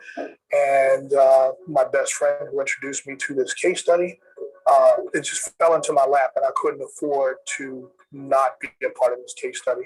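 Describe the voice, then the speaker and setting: Speaking at a moderate pace, a man's voice shows big swings in loudness. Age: 60s. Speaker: diabetes study participant. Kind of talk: testimonial interview.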